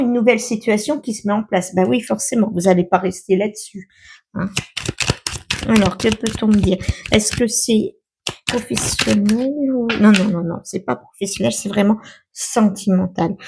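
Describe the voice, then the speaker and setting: At a moderate pace, a woman with a fairly high, somewhat breathy voice speaks with ordinary pitch variation. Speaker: tarot card reader. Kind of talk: tarot reading. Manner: hesitant, many fillers.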